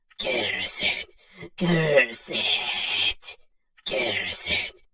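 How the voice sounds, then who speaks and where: A put-on character voice at a middle pitch. It comes out raspy and hissing. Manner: hissing, cursing.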